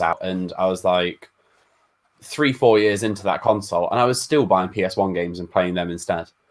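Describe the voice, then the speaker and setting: A man talks at a very fast pace. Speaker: gaming YouTuber. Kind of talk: casual chat.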